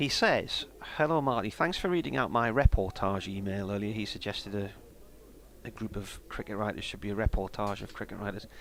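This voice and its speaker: This man speaks with a Sunderland accent at a fairly low pitch. His pace is fairly quick and his intonation lively. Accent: Mackem (Sunderland). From northeast England, South Tyneside. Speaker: cricket radio commentator. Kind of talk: live commentary. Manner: casual, conversational.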